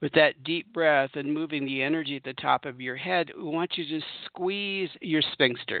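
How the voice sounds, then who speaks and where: In an ordinary speaking voice, a man talks at a moderate pace, his fairly high pitch showing ordinary pitch variation. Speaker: spiritual radio host and meditation teacher. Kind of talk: guided meditation. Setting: radio show. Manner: warm, intimate.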